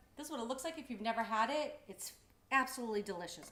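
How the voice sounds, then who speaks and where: Here a woman speaks with an American accent at a very fast pace. Her pitch swings very widely. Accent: Boston accent with some Texas y'all. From Boston area, US. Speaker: cooking show host. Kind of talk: live cooking stream chat. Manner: casual, chatty.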